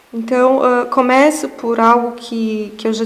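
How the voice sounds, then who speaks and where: A soft-spoken woman talks at a very slow pace in a fairly high voice with monotone, flat intonation. Audible room echo and noticeable background noise fill the recording. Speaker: researcher giving a lecture. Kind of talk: lecture. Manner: halting.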